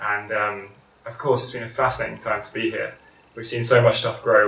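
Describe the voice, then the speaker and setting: There is noticeable background noise as a man speaks. He has a British accent and a fairly quick pace. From Britain. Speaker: school vice principal. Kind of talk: interview. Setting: at his home. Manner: hesitant, many fillers.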